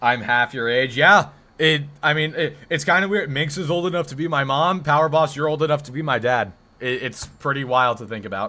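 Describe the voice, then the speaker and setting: A man's fairly high, bright and sharp voice with an American accent, a fairly quick pace and ordinary pitch variation. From Texas. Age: 20s. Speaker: gaming live streamer. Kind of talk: casual live stream chat. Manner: casual, halting.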